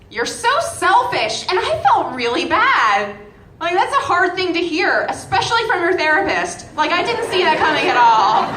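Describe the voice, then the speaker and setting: A woman with an American accent speaks at a moderate pace in an extremely high pitch, with very wide pitch swings and a raised, projected voice. The recording has audible room echo and noticeable background noise. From Massachusetts, near Boston. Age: 20s. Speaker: comedian. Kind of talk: stand-up. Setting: stage with audience.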